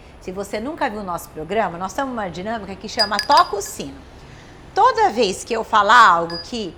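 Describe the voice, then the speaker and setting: A woman speaks in an animated tone. Background noise is noticeable. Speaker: talk show host. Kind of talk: casual talk show chat. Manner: fast.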